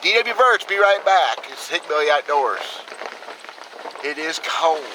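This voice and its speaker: A man with a high voice speaks at a fairly slow pace, his intonation lively and his loudness swinging widely, over noticeable background noise. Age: 50s. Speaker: trapper and outdoors video host. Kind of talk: casual outdoor vlog tutorial. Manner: folksy, plainspoken.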